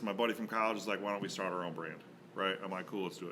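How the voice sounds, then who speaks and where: Heard with audible room echo, a man speaks in a bright, sharp tone with an American accent. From St. Louis, Missouri. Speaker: donut shop owner. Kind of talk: casual chat.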